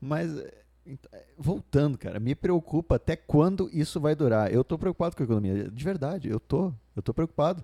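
A man's fairly high-pitched yet dark, mellow voice at a moderate pace, lively in intonation, with a dry, close sound and no echo. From Brazil, Santa Catarina. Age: 20s. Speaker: podcast co-host. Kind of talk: casual chat. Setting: studio. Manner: halting.

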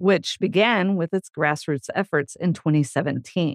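At a moderate speed, the speaker talks with an American accent. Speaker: podcast host. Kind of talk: interview.

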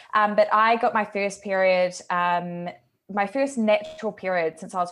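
A woman speaks in a plain, everyday voice at a fairly slow pace, with ordinary pitch variation and a quiet background. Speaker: podcast co-host and coach. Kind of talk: casual chat.

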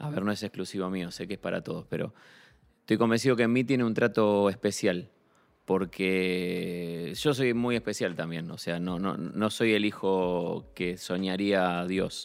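Here a man speaks in a very deep, low voice with ordinary pitch variation. His pace is fairly slow. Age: 40s. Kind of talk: casual chat. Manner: halting, repeats words.

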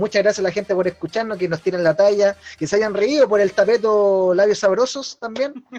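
Someone with a Chilean accent talks at a fairly quick pace, with hardly any pauses. Music plays in the background. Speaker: podcast host. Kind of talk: casual chat. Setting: home, online live stream. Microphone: poor internet audio quality.

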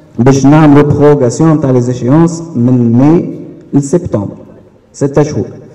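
A man's fairly high voice shows ordinary pitch variation, set against noticeable background noise. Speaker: bank credit officer. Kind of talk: audience contribution at public meeting.

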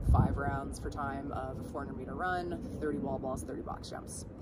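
A woman speaks over noticeable background noise with audible room echo. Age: 30s. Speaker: CrossFit coach. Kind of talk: casual interview. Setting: in-person at a gym.

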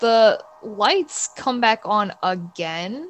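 Talking with an American accent, a woman shows ordinary pitch variation. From New York, Bayside, Queens. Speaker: illustrator and freelance artist. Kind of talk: casual storytelling interview.

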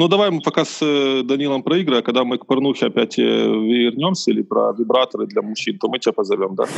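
A man at a very fast pace, with hardly any pauses. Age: 20s. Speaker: architect, podcast guest. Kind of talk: casual chat.

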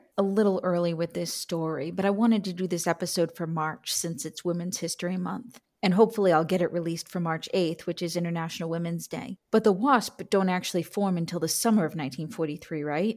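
Here a woman speaks in a plain, everyday voice at a fairly low pitch with ordinary pitch variation, keeping a fairly quick pace with hardly any pauses. The recording is very clean, with a silent background. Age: 40s. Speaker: podcast host, military historian. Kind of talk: interview.

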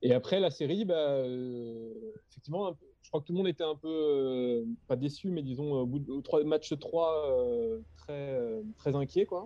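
A man with a fairly high pitch and ordinary pitch variation speaks at a fairly slow pace, with big swings in loudness. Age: 30s. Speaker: graphic designer and director. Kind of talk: casual chat. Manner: halting.

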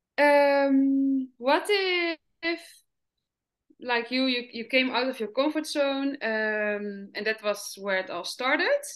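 Very slowly, a woman speaks with a Dutch accent. Her high voice carries lively intonation. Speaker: podcast host. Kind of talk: interview conversation. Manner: halting.

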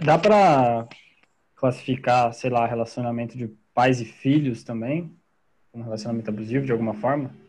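A man talks at a moderate pace in a medium-pitched voice. He takes long, frequent pauses. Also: ordinary pitch variation. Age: 20s. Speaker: engineering student, podcast co-host. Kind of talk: casual interview chat.

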